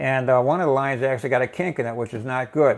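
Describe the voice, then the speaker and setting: The delivery is very fast. The background is quiet. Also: man. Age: 70s. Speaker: DIY video maker. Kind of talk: tutorial. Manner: casual with many fillers.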